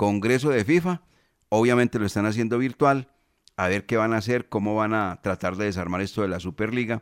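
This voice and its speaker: The speech moves at a fairly quick pace with ordinary pitch variation. The recording is very clean, with a silent background and a dry, close sound with no echo. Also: man. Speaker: sports radio host. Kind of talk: radio sports talk show.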